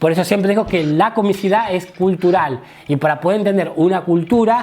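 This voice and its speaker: A man talks in a high voice. Noticeable background noise runs underneath. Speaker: comedy teacher. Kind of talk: lecture. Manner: fast.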